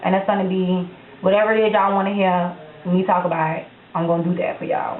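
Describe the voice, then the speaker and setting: A woman with an American accent, medium pitch, animated tone and fairly quick pace, amid audible room echo and noticeable background noise. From Florida, Tampa Bay area. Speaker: YouTube vlogger. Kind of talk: casual vlog Q&A. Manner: slurred words together.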